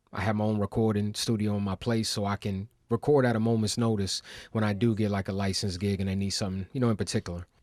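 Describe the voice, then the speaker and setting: With an American accent, the speech runs at a very fast pace in a monotone, flat intonation, on a very clean recording with a silent background and a dry, close sound with no echo. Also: man, fairly low pitch for a man. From Baltimore, US. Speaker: hip hop artist. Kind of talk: interview. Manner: casual, conversational.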